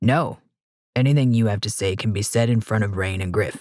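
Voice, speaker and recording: Using a put-on character voice, a man talks at medium pitch and a fairly quick pace with ordinary pitch variation. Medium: read story. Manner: guarded, terse.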